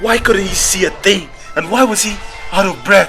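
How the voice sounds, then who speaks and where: Music can be heard in the background. A man talks at a moderate pace. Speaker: author narrating own book. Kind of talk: audiobook fantasy horror narration.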